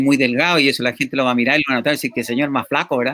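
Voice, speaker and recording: The voice belongs to a man speaking at a medium pitch. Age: 50s. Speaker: talk show host. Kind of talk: interview. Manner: halting.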